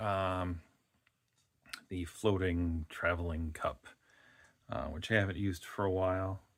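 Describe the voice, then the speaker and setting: A very slow pace and a relaxed tone. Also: man. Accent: Wisconsin. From Wisconsin, US Midwest. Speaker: fluid art painter. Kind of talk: casual tutorial. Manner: relaxed, filler-heavy.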